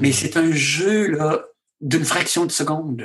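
In a Quebec accent, a man talks at a very slow pace. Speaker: physician and author. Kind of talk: interview conversation.

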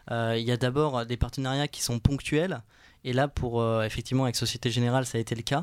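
A man in a normal speaking voice, medium-pitched and fairly quick, with fairly even intonation, on a very clean recording with a silent background. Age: 20s. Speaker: student entrepreneur. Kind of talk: interview.

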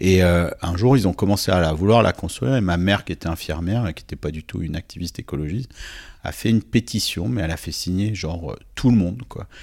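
A man with a very deep, low pitch speaks at a very fast pace with ordinary pitch variation and big swings in loudness, on a very clean recording with a silent background. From southern France, Nice. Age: 40s. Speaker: writer and NGO president. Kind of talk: interview conversation. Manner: hesitant, many repetitions and fillers.

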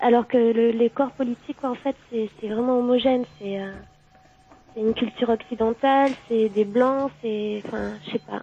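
Her pitch is fairly high for a woman, and her intonation is monotone and flat. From southwestern France, Gironde. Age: 20s. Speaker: caller. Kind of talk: phone-in discussion. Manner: halting.

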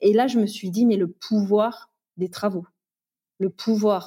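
Fairly slow and somewhat breathy, a woman speaks at a fairly high pitch with ordinary pitch variation and a dark, mellow tone, the sound dry and close with no echo. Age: 30s. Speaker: real estate investor and trainer. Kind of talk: casual interview testimony.

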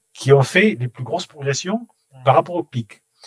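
Recorded with a dry, close sound and no echo, a man with a fairly high, somewhat breathy voice speaks at a fairly slow pace with lively intonation. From Toulouse, southern France. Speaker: bookstore chain executive. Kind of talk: interview. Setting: empty bookstore. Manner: halting, repeats words.

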